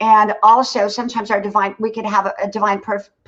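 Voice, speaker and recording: A woman talks at a fairly quick pace. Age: 60s. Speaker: content creator and former nurse. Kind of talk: livestream interview, casual chat.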